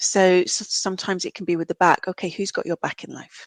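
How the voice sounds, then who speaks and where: Woman with a British accent, medium pitch and a fairly quick pace. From UK. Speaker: reflexologist and counsellor. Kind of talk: podcast interview.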